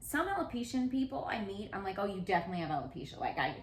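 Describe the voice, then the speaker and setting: Very fast speech with an animated tone and vocal fry. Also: woman. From Australia. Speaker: podcast host. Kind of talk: casual interview chat.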